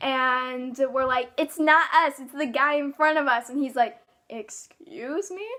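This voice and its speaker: A woman talks in a high-pitched voice. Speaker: YouTuber. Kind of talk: story time vlog. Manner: breathless run-on delivery.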